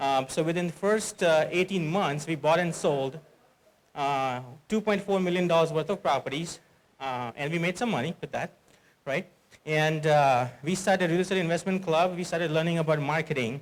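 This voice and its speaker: With an Indian accent, this man talks at a fairly high pitch, using ordinary pitch variation. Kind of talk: conference talk. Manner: fast.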